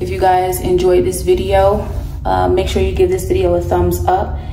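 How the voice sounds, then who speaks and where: A woman speaks with an American accent at a moderate pace. Noticeable background noise is present. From United States. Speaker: vlogger. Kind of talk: vlog narration.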